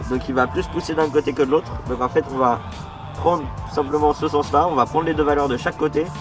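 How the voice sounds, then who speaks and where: A man talks at a moderate pace, fairly high in pitch with ordinary pitch variation, while music plays behind him. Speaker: amateur motorbike mechanic. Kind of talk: tutorial talk to camera. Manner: casual, hesitant with fillers.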